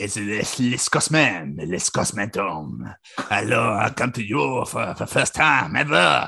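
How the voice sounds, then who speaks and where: Speaking very slowly with hardly any pauses, this raspy put-on character voice comes in a French accent. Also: man, fairly low pitch for a man. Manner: playful, joking.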